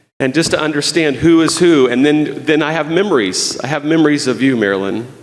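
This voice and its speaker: A man speaks at a fairly quick pace, his pitch fairly high with ordinary variation. Audible echo fills the room. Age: 60s. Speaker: guest preacher. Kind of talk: sermon. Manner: halting.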